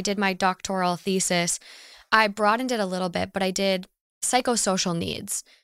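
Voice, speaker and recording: A woman with an American accent has an ordinary speaking voice and talks at a fairly quick pace. The recording is very clean and dry, close with no echo, over a silent background. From Minnesota. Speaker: podcaster. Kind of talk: casual chat.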